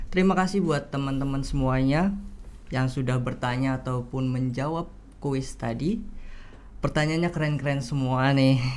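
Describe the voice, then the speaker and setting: A man with a normal speaking voice talks at a moderate pace in a fairly high pitch with ordinary pitch variation. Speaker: student moderator. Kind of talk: moderating a webinar Q&A. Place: studio. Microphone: studio mic.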